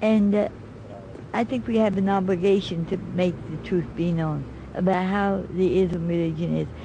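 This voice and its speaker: A woman speaks at a medium pitch with an American accent and fairly even intonation. Her pace is moderate, and there is audible room echo. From United States. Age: 70s. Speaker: interviewee. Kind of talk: TV interview. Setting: TV studio. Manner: halting.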